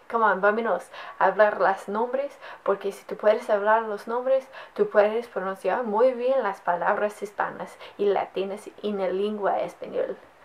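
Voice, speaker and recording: A woman speaks at a fairly quick pace with a fairly high pitch and fairly even intonation. Her loudness swings widely, and there is noticeable background noise. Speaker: Spanish language teacher. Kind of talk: tutorial. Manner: casual, encouraging.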